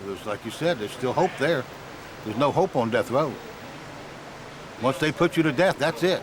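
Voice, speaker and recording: Noticeable background noise sits behind a man with an American accent and a fairly high pitch. He talks at a fairly quick pace with lively intonation but takes long, frequent pauses. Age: 60s. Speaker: prison inmate. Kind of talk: interview.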